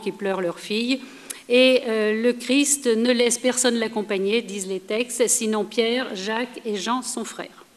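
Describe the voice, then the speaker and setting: Over noticeable background noise, a woman speaks in a fairly high voice with fairly even intonation. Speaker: historian, lecturer. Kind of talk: lecture.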